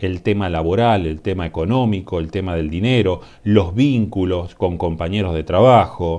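This man has a very deep, low pitch and a dark, mellow tone. He speaks with a Rioplatense accent and ordinary pitch variation. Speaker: tarot reader. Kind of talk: tarot reading monologue. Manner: halting, many fillers.

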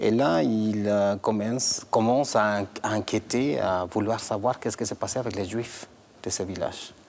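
The speaker uses a Latin American Spanish accent, moving at a fairly slow pace with ordinary pitch variation. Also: man, fairly low pitch for a man. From Guatemala. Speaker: director of a Holocaust memory association. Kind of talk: interview. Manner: halting, repeats words. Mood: serious, grave. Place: hall.

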